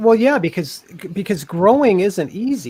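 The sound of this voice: A man's high voice, dark and mellow in tone with a slightly husky edge, big pitch swings and a fairly slow pace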